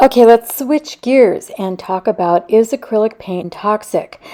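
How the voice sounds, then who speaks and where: Pitched fairly high, a woman speaks in a dark, mellow tone with ordinary pitch variation. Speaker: art vlogger. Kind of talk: casual vlog talk.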